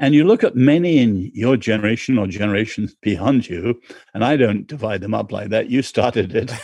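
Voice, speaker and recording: A dark, mellow tone with an English accent and lively intonation. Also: man. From born in China, English. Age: 70s. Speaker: author and cultural commentator. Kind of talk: interview.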